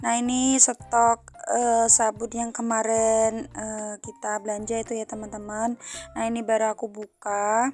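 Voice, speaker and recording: Music plays in the background as the voice moves at a fairly slow pace, flat and monotone, with hardly any pauses. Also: woman, fairly high pitch for a woman. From Central Java, Indonesia. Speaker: housewife vlogger. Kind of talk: casual vlog narration. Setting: at home, washing dishes. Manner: hesitant, frequent fillers.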